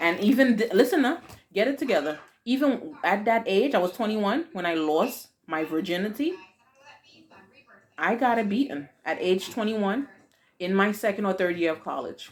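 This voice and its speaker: A woman with a Haitian accent, medium pitch and an animated tone, at a moderate pace with very wide pitch swings and long, frequent pauses. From Haiti, raised in the US from age four. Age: 40s. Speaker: YouTube vlogger, mother. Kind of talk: casual Q&A chat with daughter; video outro.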